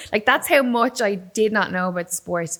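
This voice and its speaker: A woman with an Irish accent, over noticeable background noise. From Ireland, Waterford. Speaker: combat sports presenter, former musician. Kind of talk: casual interview chat. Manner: animated storytelling.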